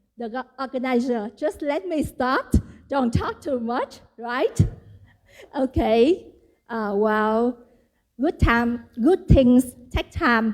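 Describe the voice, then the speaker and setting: At a very slow pace with long, frequent pauses, a woman speaks in a high pitch with ordinary pitch variation. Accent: Vietnamese. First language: Vietnamese. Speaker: event organizer. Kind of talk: welcome speech.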